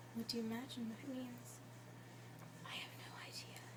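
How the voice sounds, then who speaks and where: With noticeable background noise around her, a woman speaks at a moderate pace. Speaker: ASMR artist. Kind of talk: ASMR whispered reading of a classic story. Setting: binaural recording with basic home equipment.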